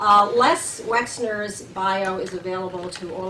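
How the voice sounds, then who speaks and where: Ordinary pitch variation from a woman, amid audible room echo and noticeable background noise. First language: German. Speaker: center director hosting speaker series. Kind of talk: speaker introduction.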